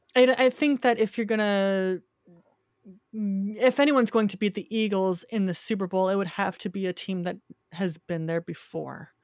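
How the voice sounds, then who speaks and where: At a moderate pace, a woman speaks in an unremarkable speaking voice of medium pitch with ordinary pitch variation, on a very clean, dry, close recording with a silent background and no echo. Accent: American. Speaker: film critic. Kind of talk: casual chat.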